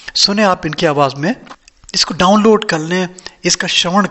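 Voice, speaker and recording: A high-pitched male voice with lively intonation, over noticeable background noise. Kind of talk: casual talk to camera, spiritual explanation.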